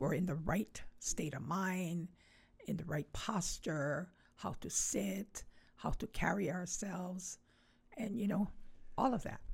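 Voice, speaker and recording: Speaking very slowly with long, frequent pauses, a woman uses a fairly low pitch, ordinary pitch variation and a Hawaiian accent. Her voice is somewhat breathy. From Hawaii, Honolulu (Kaimuki). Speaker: Hawaiian cultural event organizer and hula practitioner. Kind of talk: casual interview.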